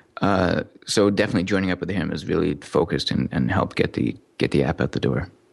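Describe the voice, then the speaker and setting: A man's very deep, low voice at a very fast pace with lively intonation, over noticeable background noise. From Montreal suburbs, Quebec, Canada (born in Newcastle, England). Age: 30s. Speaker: software developer. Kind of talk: interview.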